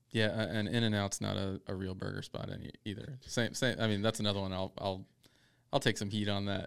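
With fairly even intonation, an unremarkable speaking voice moves along at a fairly quick pace. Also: man, fairly low pitch for a man. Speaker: barbecue podcast co-host. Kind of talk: casual chat.

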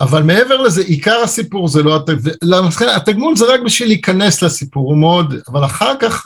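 A man's pitch swings very widely as he talks at a fairly slow speed. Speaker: tech entrepreneur and former air force officer. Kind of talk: interview conversation. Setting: video call.

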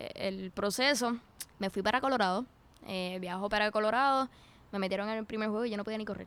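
This woman has a normal speaking voice with a fairly high pitch. Her intonation is fairly even. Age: 20s. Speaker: footballer and psychology student. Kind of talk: interview.

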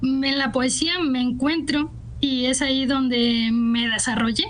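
A woman with a high pitch speaks at a fairly slow pace with fairly even intonation, amid audible room echo and noticeable background noise. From Guadalajara, Jalisco, Mexico. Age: 20s. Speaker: poet. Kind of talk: radio interview.

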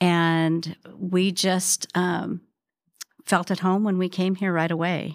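This woman speaks with an American accent at a fairly low pitch, her intonation fairly even. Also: very clean recording, silent background. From Spokane, Washington. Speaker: church member. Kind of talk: casual chat.

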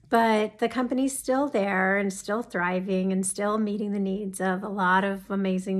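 A woman speaks at a fairly slow pace in a medium pitch with ordinary pitch variation. The recording is very clean, with a silent background. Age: 50s. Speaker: teacher and entrepreneur starting a personal video channel. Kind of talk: personal introduction monologue. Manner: conversational with frequent hesitations.

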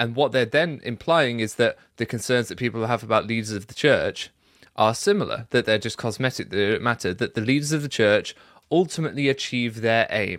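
At a fairly quick pace, a man uses an ordinary speaking voice at medium pitch with lively intonation, in a very clean recording with a silent background. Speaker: YouTuber. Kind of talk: casual discussion.

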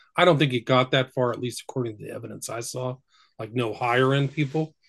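Somewhat breathy, a man of medium pitch talks at a very fast pace with ordinary pitch variation. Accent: American. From Northern California. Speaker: researcher and author on the occult. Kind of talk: casual chat. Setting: remote call.

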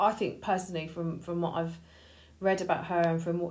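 A woman talks in a fairly low pitch with monotone, flat intonation. Audible room echo is present. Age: 40s. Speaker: podcast co-host. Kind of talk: casual chat. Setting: home dining room.

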